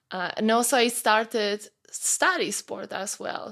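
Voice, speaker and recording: Over a very clean recording with a silent background, a woman with a Polish accent speaks fairly slowly in a monotone, flat intonation. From Poland, small mountain town. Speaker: fitness coach. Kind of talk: podcast interview. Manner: halting.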